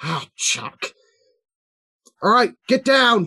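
This is a put-on character voice, gruff in texture. It sits at a fairly high pitch. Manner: gruff, grunting.

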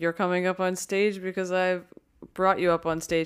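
An American accent comes through in a very clean recording with a silent background. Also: woman. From Philadelphia, US. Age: 30s. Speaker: podcast host and comedian. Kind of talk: casual chat; scripted narration.

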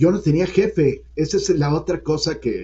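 A man is talking. There is a somewhat breathy quality to his voice. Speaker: economist, former central bank deputy governor. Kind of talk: interview.

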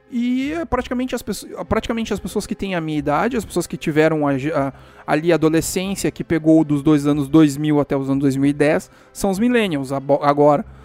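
A man's fairly high voice with lively intonation at a fairly quick pace, music in the background. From Brazil. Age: 30s. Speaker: solo podcaster. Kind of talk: casual monologue.

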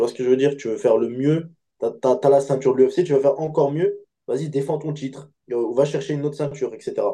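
A man's fairly high voice, dark and mellow in tone, with fairly even intonation at a very fast pace. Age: 20s. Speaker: MMA fighter. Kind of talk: interview. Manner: halting.

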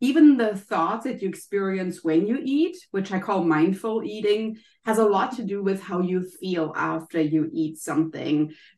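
A woman with a German accent and lively intonation at a fairly slow pace. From Germany. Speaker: wellness coach and author. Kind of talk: interview.

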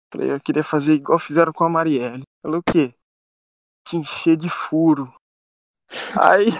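With long, frequent pauses, a man talks at a moderate pace in a fairly high pitch, his intonation fairly even. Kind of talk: casual chat.

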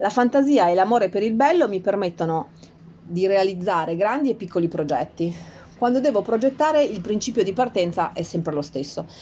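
A woman's dark, mellow, medium-pitched voice with very wide pitch swings at a fairly quick pace. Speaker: nursery owner. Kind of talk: prepared personal statement.

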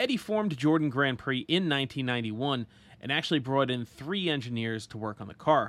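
A man with a plain, everyday voice, fairly high-pitched, speaks at a fairly quick pace with lively intonation. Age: 30s. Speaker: motorsport podcast host. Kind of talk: solo podcast narration.

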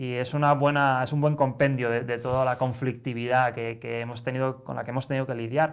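The speech comes at a fairly quick pace with hardly any pauses and monotone, flat intonation, on a very clean recording with a silent background. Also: man, medium pitch for a man. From Spain, Barcelona. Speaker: satirical newspaper director, writer. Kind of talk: interview.

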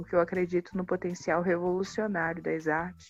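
A woman's fairly low voice, fairly quick and monotone with flat intonation. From Baixada Fluminense, Rio de Janeiro, Brazil. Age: 20s. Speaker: filmmaker. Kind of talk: interview.

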